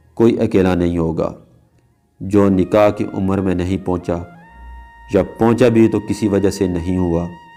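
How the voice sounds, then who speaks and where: With music playing in the background, a man speaks in a very deep, low pitch. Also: fairly even intonation. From Azad Kashmir, Pakistan. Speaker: voice-over artist. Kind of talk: religious story narration.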